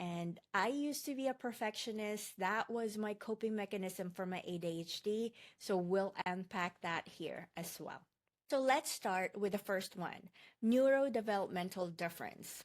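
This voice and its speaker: Speaking at a moderate pace, a woman with a Filipino accent has a medium pitch and ordinary pitch variation. The recording is very clean, with a silent background. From Philippines. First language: Tagalog. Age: 40s. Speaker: online course instructor. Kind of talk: lecture.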